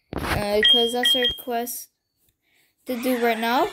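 Loud background noise fills the clip. A woman speaks at a very slow pace with ordinary pitch variation. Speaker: gaming channel host. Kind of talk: casual gameplay commentary.

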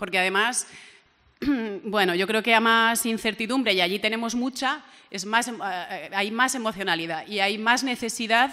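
Against a quiet background, a woman speaks at a moderate pace. Her tone is bright and sharp, with ordinary pitch variation. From Valencia, Spain; Spain. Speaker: regional MP and journalist; journalist. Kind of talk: panel discussion; panel debate talk. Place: meeting room. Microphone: podium.

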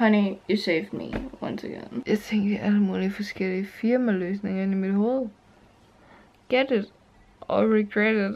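Soft-spoken, the woman talks at a fairly slow pace. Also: fairly even intonation. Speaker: vlogger. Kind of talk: casual vlog chat. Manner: drunk, drowsy, slurred murmur. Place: home room. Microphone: phone near.

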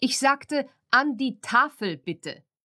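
This woman sounds animated, with lively intonation. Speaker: audiobook narrator. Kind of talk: audiobook reading, bedtime story for children. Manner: animated, expressive storytelling with character voices.

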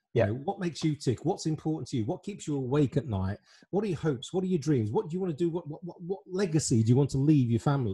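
Against a quiet background, a man speaks at a very fast pace with lively intonation. His tone is dark and mellow, somewhat breathy. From England. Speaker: online show host and life planner; online show host. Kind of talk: casual interview chat. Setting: video call. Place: home room. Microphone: studio mic.

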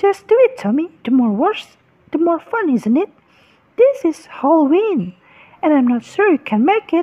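The voice is extremely high, with very wide pitch swings. It moves at a moderate pace. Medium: machinima. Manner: teasing, impatient.

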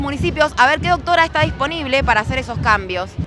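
Over faint music in the background, a woman speaks in a raised, projected voice. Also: dry sound with no echo. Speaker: activist spokesperson. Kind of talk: interview answer. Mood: earnest, indignant. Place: street. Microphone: handheld.

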